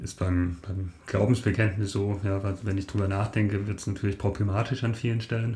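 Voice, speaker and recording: Somewhat breathy and dark, mellow in tone, a man talks at a fairly quick pace with monotone, flat intonation and hardly any pauses. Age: 50s. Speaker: mathematician and lay preacher. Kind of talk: casual chat. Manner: halting.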